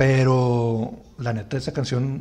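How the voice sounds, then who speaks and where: A somewhat breathy voice speaks with a Mexican accent. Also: man. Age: 30s. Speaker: podcast host. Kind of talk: casual chat.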